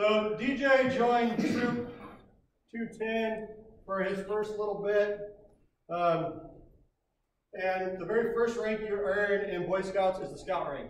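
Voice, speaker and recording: With an American accent, a man speaks loudly in a high pitch at a very slow pace, keeping fairly even intonation and taking long, frequent pauses, with audible room echo around him. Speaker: scoutmaster. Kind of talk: ceremony speech. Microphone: speaking without microphone.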